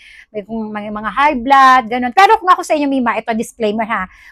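Speech races at a very fast pace with lively intonation. Faint music plays in the background, and the sound is dry with no echo. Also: woman. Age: 40s. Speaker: product review vlogger. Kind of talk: product review vlog. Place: home room. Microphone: phone near.

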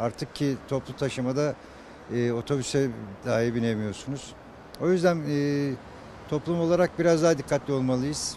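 With light background noise and a dry sound with no echo, a man talks at a moderate pace with ordinary pitch variation and long, frequent pauses. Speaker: interviewee. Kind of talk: interview answer. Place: street. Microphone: handheld.

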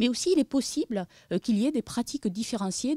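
Somewhat breathy and dark, mellow in tone, a woman speaks with a southern French accent and lively intonation. The sound is dry with no echo over a quiet background. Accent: noticeable regional southern French. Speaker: demographic researcher. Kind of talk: conference presentation. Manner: hesitant, many fillers. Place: meeting room. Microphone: podium.

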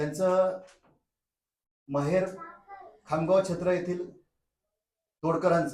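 His intonation holds fairly even. The speaker is a man with a high pitch. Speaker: vlogger. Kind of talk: vlog narration and interview questions.

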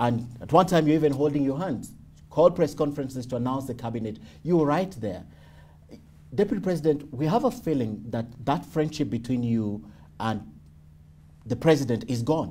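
A somewhat breathy man with a fairly high pitch, dark, mellow tone, lively intonation, fairly quick pace and long, frequent pauses. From Kenya. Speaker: TV news interviewer. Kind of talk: interview. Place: home room.

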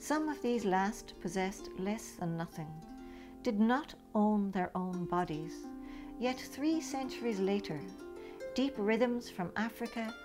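Over music in the background, a woman talks at a fairly slow pace in a medium pitch with very wide pitch swings. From Ireland. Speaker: poet. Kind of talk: poetry reading.

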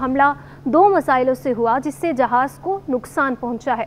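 Her high pitch shifts in an ordinary way while this woman keeps a moderate pace.

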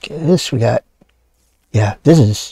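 Somewhat breathy, this voice carries a dark, mellow tone. Its pace is fairly slow, and the pitch varies in an ordinary way. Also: man. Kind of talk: casual gameplay commentary.

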